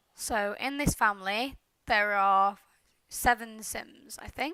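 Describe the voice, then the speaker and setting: A woman speaks with a British accent and ordinary pitch variation. The recording is very clean, with a silent background. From Britain. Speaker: gaming YouTuber. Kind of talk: casual commentary over gameplay. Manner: hesitant, with many fillers. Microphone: headset mic too close, popping, no pop filter.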